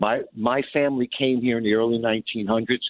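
A man talks in a New York accent. His pace is moderate. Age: 60s. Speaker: caller. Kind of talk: call-in talk radio.

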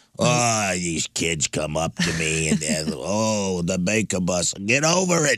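A man's put-on character voice, very deep and low, lively in intonation, fairly slow, with a dry, close sound and no echo. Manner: complaining, mock-annoyed.

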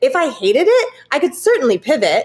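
The speech has lively intonation and an American accent. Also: woman. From California. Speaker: Broadway performer and producer. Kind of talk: interview.

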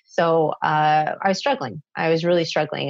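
A woman with a Canadian accent speaks at a moderate pace in a very deep, low voice with vocal fry and fairly even intonation. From Canada, Toronto. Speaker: parenting coach. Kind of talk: interview.

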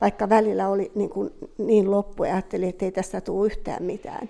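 A woman speaks at a moderate pace in a medium pitch, with a dark, mellow tone. Her intonation is monotone and flat, and the recording is very clean with a silent background. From Finland, Southern Ostrobothnia (Jurva). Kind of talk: testimony.

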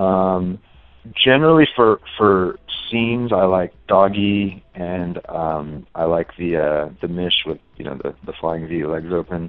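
This man speaks with an American accent at a fairly slow pace. His pitch is very deep and low. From San Diego, California. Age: 30s. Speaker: adult film performer. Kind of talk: interview.

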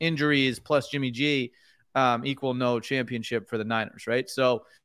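With an American accent, a man talks at a fairly quick pace at a medium pitch, with ordinary pitch variation and an ordinary speaking voice. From New York. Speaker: sports card business owner. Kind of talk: casual chat.

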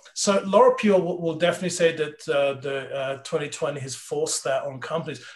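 With noticeable background noise behind him, a man talks at a fairly high pitch with ordinary pitch variation and hardly any pauses. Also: moderate pace. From Switzerland and England.

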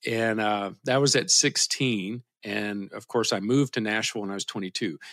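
Very clean and silent in the background, this recording features a man with a Kentucky accent. His pitch varies in an ordinary way. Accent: Southern US (Kentucky). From US South, south central Kentucky. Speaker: guitarist and band leader. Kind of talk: casual interview.

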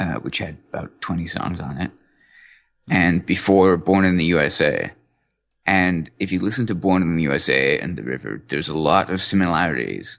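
Over a quiet background, a man speaks at a moderate pace with vocal fry. His pitch is very deep and low, with ordinary variation. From England. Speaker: music enthusiast podcast guest. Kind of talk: casual chat.

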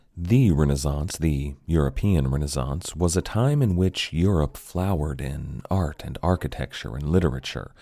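On a very clean recording with a silent background, a man with a very deep, low pitch and a dark, mellow tone talks at a moderate pace with ordinary pitch variation and hardly any pauses. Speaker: history podcast host. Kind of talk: dramatic narration of history, storytelling with gravitas. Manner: measured, earnest, expressive storyteller.

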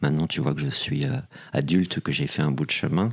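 Vocal fry colors a man's voice. His intonation is lively. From Paris, France. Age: 40s. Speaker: casting director. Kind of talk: interview.

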